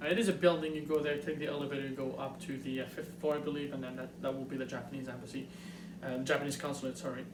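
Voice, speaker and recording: Speaking very fast in a Montreal accent, a man has a fairly high pitch and ordinary pitch variation. Audible room echo surrounds the voice. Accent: Montreal French-Canadian. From Quebec, Montreal. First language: French. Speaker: YouTuber. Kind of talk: tutorial. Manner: halting, many fillers.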